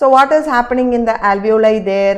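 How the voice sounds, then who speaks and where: With audible room echo, a woman speaks at a fairly high pitch with ordinary pitch variation. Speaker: teacher. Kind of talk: online lecture. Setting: live online class. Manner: slow.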